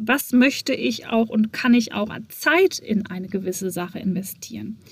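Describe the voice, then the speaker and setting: Somewhat breathy, this woman's voice has a fairly high pitch. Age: 30s. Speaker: podcast host and entrepreneur. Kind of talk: solo podcast monologue.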